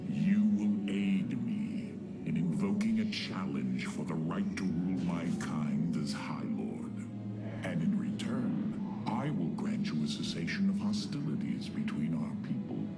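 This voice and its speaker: A man does a put-on character voice at a fairly slow pace. Loud background noise fills the clip. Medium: game stream. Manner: haughty, sneering.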